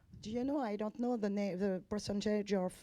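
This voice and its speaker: A woman with a French accent, a medium pitch, fairly even intonation and a dark, mellow tone, on a very clean recording with a silent background. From France. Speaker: journalist asking questions. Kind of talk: press conference question. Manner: halting, many hesitations.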